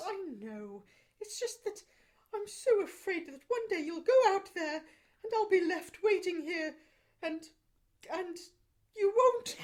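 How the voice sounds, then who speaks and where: A woman puts on a character voice with an extremely high pitch, lively intonation and big swings in loudness. She goes at a fairly slow pace with long, frequent pauses. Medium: comedy sketch.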